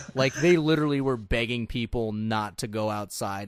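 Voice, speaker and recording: A normal speaking voice from a man with an American accent, at a moderate pace with ordinary pitch variation. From US Southwest desert. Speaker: podcast host. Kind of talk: casual chat.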